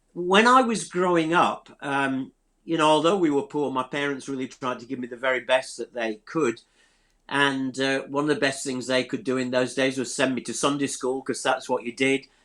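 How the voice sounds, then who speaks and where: In a Yorkshire accent, a man speaks at a moderate pace with fairly high pitch and ordinary pitch variation on a very clean recording with a silent background. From South Yorkshire, England. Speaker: church leader, theology school leader. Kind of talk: personal testimony in interview. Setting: live stream.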